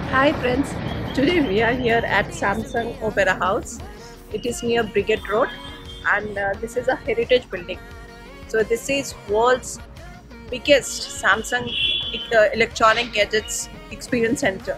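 A woman's voice with long, frequent pauses over clear music in the background. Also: ordinary pitch variation, fairly slow pace, dry sound with no echo. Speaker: travel vlogger. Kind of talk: casual vlog chat. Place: street. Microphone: phone near.

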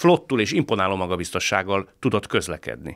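A man speaks over a quiet background. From Hungary. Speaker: podcast host. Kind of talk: interview discussion. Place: studio. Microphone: studio mic.

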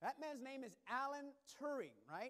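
The voice has an energetic tone. Behind it, the background is quiet. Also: man. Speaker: preacher. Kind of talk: sermon. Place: church.

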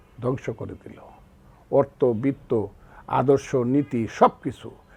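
This is a man's voice at medium pitch. Its tone is dark and mellow. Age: 70s. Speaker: war veteran and lawyer. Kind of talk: interview. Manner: impassioned, oratorical.

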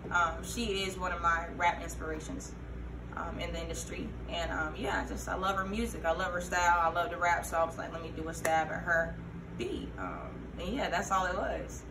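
There is noticeable background noise as a woman with an American accent speaks at a moderate pace. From Fayetteville, North Carolina. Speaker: rapper and military veteran. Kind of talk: casual interview. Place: shop. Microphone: camera far.

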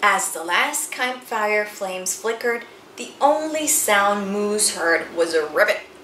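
Lively intonation in an unforced reading voice

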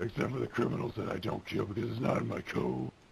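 The speech is very fast, with very wide pitch swings, and clear background noise. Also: man, very deep, low pitch for a man. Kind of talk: comic overacting, gruff superhero parody. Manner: pompous, boastful, interrogating.

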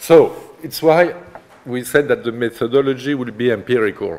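A man's medium-pitched voice with lively intonation at a moderate pace. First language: French. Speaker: art history professor. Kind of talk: lecture. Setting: seminar room with students. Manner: halting, hesitant with fillers. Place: classroom.

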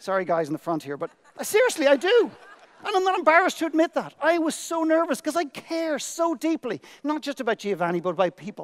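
A man with an Irish accent talks at a very fast pace in an extremely high pitch, with very wide pitch swings. The background is quiet. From Ireland. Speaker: motivational speaker. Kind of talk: keynote speech. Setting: stage with audience. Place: stage. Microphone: headset.

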